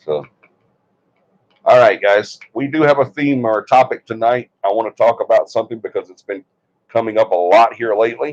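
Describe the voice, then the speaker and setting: With an Alabama accent, a man talks at a fairly quick pace, broken by long, frequent pauses, with big swings in loudness and a dry, close sound with no echo. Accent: US Southern (Alabama). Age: 60s. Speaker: paranormal investigation team leader and livestream host. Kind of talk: casual livestream chat. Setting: livestream from a bedroom.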